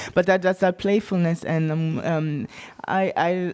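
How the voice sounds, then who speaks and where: A woman's medium-pitched voice with a German accent. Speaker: writer. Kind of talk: panel discussion. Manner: halting.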